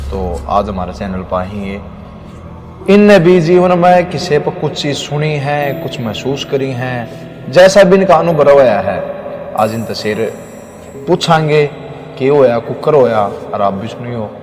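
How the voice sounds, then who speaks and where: A fairly high male voice with very wide pitch swings and big swings in loudness, over noticeable background noise. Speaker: podcast host. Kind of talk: podcast interview questions.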